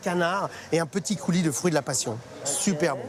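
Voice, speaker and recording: Over noticeable background noise, a man talks in an animated tone at a fairly quick pace with ordinary pitch variation. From rural France. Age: 50s. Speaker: restaurant owner. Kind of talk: casual chat. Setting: restaurant. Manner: fast.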